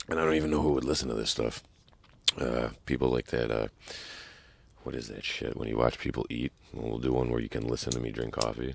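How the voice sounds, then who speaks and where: A man's very deep, low voice at a very fast pace, with fairly even intonation and long, frequent pauses. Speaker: podcast host. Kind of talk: casual solo podcast talk. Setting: truck stop. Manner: casual, profane.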